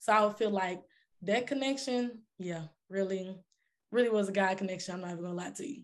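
A woman at medium pitch, fairly quick pace and fairly even intonation, over a quiet background. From Texas, Dallas. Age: 20s. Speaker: R&B singer. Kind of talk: casual interview. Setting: studio.

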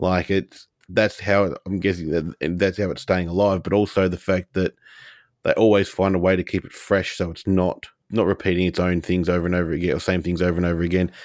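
With an Australian accent, a man speaks fairly quickly in a very deep, low, monotone voice. The recording is very clean with a silent background. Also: dry, close sound with no echo. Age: 30s. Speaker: podcast co-host. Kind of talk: casual chat.

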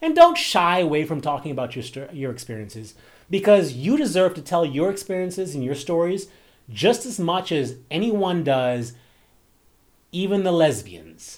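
Over a very clean recording with a silent background, the voice carries lively intonation and big swings in loudness at a moderate pace. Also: man, high pitch for a man. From Bahamas. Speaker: podcast host and romance author. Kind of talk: casual monologue.

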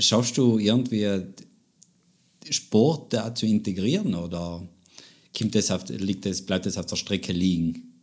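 Speaking very slowly with long, frequent pauses, a man with a fairly low pitch talks in a South Tyrolean accent. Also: ordinary pitch variation. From South Tyrol, Italy. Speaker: podcast host. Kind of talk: interview. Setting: living room.

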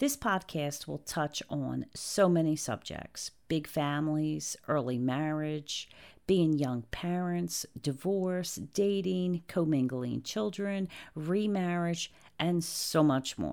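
A woman with a New Jersey accent speaks at a very deep, low pitch. Her pace is very slow, and the recording is very clean with a silent background. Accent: New Jersey American. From New Jersey, US. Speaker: podcast host. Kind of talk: scripted introduction monologue.

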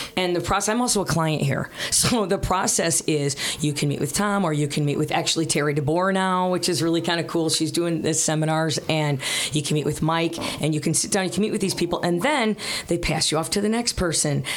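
Over noticeable background noise, a woman with an American accent speaks at a fairly quick pace and fairly low pitch, keeping her loudness very even and her pitch variation ordinary. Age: 50s. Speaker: radio host. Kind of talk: casual chat.

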